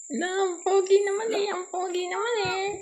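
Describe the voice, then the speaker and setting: A woman speaks at a moderate pace. The recording has audible room echo and noticeable background noise. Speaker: vlogger. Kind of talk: casual vlog chat. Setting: home kitchen at night. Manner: soft-spoken.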